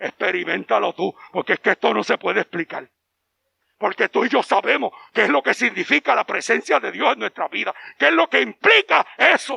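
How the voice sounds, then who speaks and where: The voice moves at a fairly quick pace, recorded with a dry, close sound and no echo. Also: man. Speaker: pastor. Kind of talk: sermon. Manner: animated.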